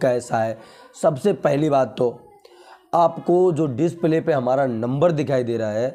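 Speech moves at a very slow pace. The pitch shows ordinary variation. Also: man. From Uttar Pradesh, India. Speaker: potato market news youtuber. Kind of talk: market update vlog. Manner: casual, conversational. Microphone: lapel.

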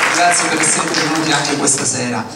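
A man speaks with audible room echo. Noticeable background noise can be heard too. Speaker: show presenter. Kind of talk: stage introduction to audience. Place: stage. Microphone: pa.

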